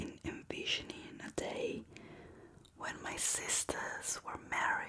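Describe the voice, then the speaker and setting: A woman whispers over noticeable background noise. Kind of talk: bedtime book reading. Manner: slow, soft-spoken.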